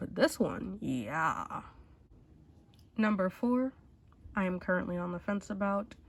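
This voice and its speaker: Somewhat breathy and lively in intonation, the voice moves at a moderate pace on a very clean recording with a silent background. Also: woman. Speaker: beauty YouTuber. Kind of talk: casual talk to camera. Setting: speaking through a mask.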